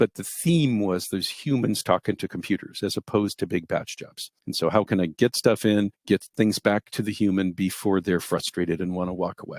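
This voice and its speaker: A man speaks in a plain, everyday voice at a fairly low pitch and a fairly quick pace. The sound is dry and close with no echo, on a very clean recording with a silent background. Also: ordinary pitch variation. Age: 60s. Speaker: database researcher and engineer. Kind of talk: interview.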